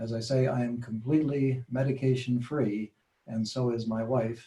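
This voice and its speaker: A somewhat breathy, dark and mellow voice at a fairly slow pace, with monotone, flat intonation. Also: man. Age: 70s. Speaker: patient sharing health story. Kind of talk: testimony. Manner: halting.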